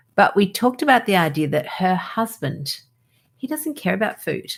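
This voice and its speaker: Moving at a moderate pace, this speech sounds somewhat breathy. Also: woman. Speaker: doctor, podcast host. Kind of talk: podcast conversation.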